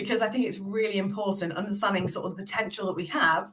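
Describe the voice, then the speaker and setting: A woman with a British accent speaks at a medium pitch. The audio carries audible room echo and noticeable background noise. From England. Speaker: military veteran and change management consultant. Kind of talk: podcast interview.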